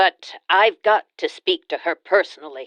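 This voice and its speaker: This is a raspy, put-on character voice at a middle pitch. It moves at a moderate pace. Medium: read story. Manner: nervous, formal, apologetic.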